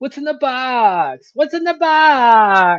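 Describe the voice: This put-on character voice is whiny and high-pitched.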